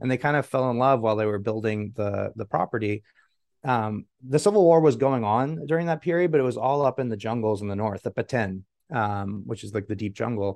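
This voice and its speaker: A man with an American accent speaks in a normal speaking voice at medium pitch, at a fairly quick pace with ordinary pitch variation. The sound is dry and close with no echo, and the background is quiet. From Guatemala, raised by American parents. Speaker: biotech CEO, scientist. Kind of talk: interview.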